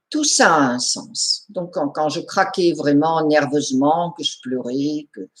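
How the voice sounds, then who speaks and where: A woman with a very deep, low voice speaks at a very slow pace with ordinary pitch variation. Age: 70s. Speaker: therapist. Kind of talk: personal testimony. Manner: repetitive, hesitant.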